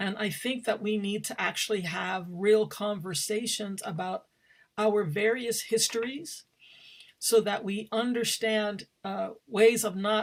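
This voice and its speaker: Medium pitch for a woman, with ordinary variation in pitch. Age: 60s. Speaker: theater director and professor. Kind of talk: panel talk. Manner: halting.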